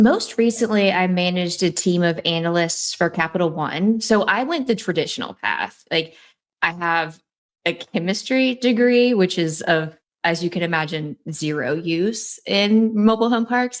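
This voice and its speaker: With a slight Southern US accent, a woman speaks at a moderate pace in a medium pitch with ordinary pitch variation, recorded very cleanly against a silent background. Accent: little Southern twang. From North Carolina, Raleigh area. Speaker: real estate investor. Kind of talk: casual interview chat.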